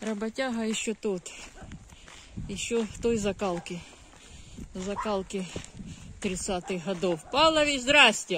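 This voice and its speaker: A woman at medium pitch with lively intonation, a very slow pace and long, frequent pauses. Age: 50s. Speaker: video blogger. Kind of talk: casual vlog. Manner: warm, chatty.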